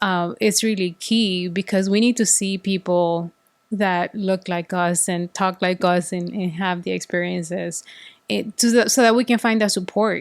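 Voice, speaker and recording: Recorded very cleanly against a silent background, a woman with a slight Salvadoran accent speaks in a dry, close sound with no echo. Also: medium pitch for a woman, ordinary pitch variation, moderate pace. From El Salvador. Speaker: corporate executive. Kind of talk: interview. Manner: halting, with frequent repetitions.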